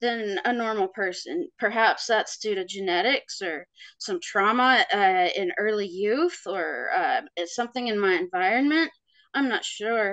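Against a quiet background, a woman with a fairly high pitch and a bright, sharp tone talks at a fairly slow pace with very wide pitch swings. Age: 40s. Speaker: sleep paralysis experiencer sharing her story. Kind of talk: interview testimony.

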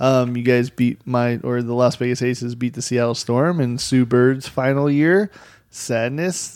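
At a fairly slow pace, a man with a plain, everyday voice speaks at medium pitch with fairly even intonation. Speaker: podcast host. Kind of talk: casual banter about fantasy football. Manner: profane, jokey.

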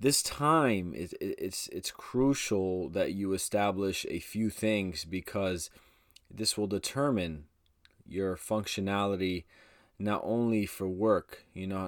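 A man with a normal speaking voice talks at a fairly slow pace, his fairly low pitch showing ordinary variation, on a very clean recording with a silent background. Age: 20s. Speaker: podcast host. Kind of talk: motivational talk. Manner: casual, filler-heavy.

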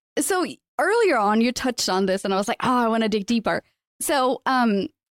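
The recording sounds dry and close, without echo. Her intonation is lively, a woman's voice. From Portugal. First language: Portuguese. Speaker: podcast host. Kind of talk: casual interview. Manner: fast talker.

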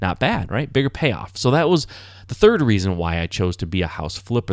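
In an American accent, a man talks with a normal speaking voice at a medium pitch and lively intonation, on a very clean recording with a silent background. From Michigan, US. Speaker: podcast host, house flipper. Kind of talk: solo podcast monologue. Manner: conversational, with fillers and restarts.

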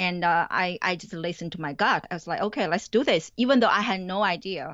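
A woman with a Chinese accent talks at a fairly quick pace. Her pitch is medium, with ordinary pitch variation. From China. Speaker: college professor. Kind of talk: interview.

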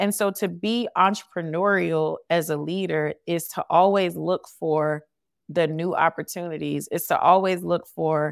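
With a normal speaking voice and an American accent, a woman speaks at a fairly low pitch and fairly slow pace with fairly even intonation, in a very clean recording with a silent background. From US South. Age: 40s. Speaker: leadership coach and speaker. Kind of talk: interview.

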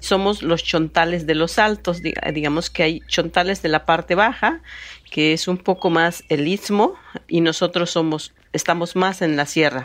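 Speaking at a fairly slow pace, a woman uses a plain, everyday voice with fairly low pitch and fairly even intonation. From Oaxaca, Mexico (Chontal Alta region). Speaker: master mezcal maker. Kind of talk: interview.

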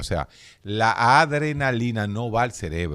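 A man speaks in a fairly low voice. His pitch swings very widely. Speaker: radio host and doctor. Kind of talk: radio health talk with callers. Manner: animated.

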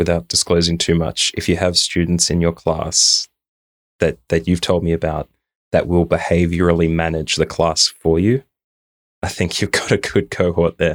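Speaking at a moderate pace with an Australian accent, a man uses a very deep, low pitch, fairly even intonation and very even loudness, recorded dry and close with no echo on a very clean track with a silent background. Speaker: podcast co-host. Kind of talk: casual chat. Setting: recording in a room at home.

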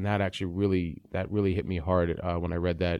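Very deep and low in pitch, a man's dark, mellow voice moves at a very fast pace with fairly even intonation. The recording is very clean, with a silent background. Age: 40s. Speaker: podcast host. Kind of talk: casual interview.

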